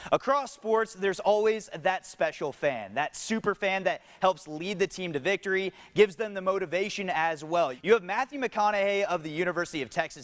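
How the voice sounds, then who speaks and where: At a moderate pace, a man with a high pitch talks in a dry, close recording with no echo. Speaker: sports anchor and reporter. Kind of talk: on-location feature reporter intro.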